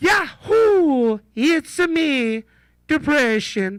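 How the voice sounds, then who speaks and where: On a very clean recording with a silent background, a put-on character voice speaks at a very slow pace with a high pitch. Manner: cheerful, joking.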